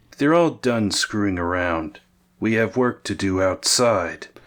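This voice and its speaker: A man puts on a character voice, speaking at a fairly slow pace with lively intonation and a deadpan tone, in a very clean recording over a silent background. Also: fairly low pitch for a man. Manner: curt, deadpan.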